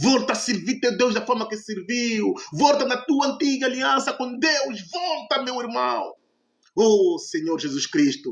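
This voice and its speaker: Speaking at a fairly slow pace, a high-pitched man makes very wide pitch swings. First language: Portuguese (speaking French). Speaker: evangelist preacher. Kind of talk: sermon. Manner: impassioned, exhortative.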